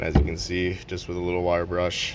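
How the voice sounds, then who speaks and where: Over noticeable background noise, a man talks with a very deep, low pitch. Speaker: mechanic making a how-to video. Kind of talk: tutorial. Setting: workshop at work. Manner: whispering; casual, relaxed.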